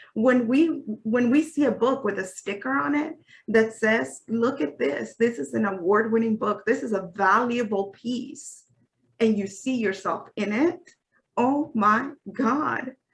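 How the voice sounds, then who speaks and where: Speaking with an American accent at a fairly slow pace, this voice swings very widely in pitch and carries vocal fry. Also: woman, fairly high pitch for a woman. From US-Mexico border, Mexican American. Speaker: children's book author. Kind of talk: interview conversation.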